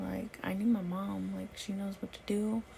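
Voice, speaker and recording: A woman speaks over noticeable background noise. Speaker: vlogger, new mother. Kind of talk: casual vlog storytelling. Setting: lying on bed at home, late night. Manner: soft-spoken.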